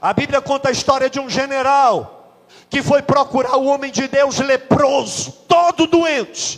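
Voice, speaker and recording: In an animated tone, a man with an extremely high pitch speaks at a fairly slow pace. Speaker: pastor. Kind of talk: sermon.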